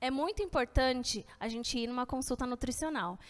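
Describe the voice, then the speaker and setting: Her voice high, a woman speaks with lively intonation. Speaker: nutritionist giving a health talk. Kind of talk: lecture. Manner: casual and friendly.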